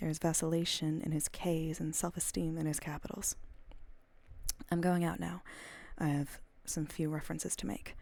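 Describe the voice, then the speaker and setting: Soft-spoken and very deep in pitch, a woman talks at a moderate pace in a dark, mellow tone with fairly even intonation and long, frequent pauses. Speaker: ASMR streamer and audiobook reader. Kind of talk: audiobook reading of classic fiction, ASMR stream.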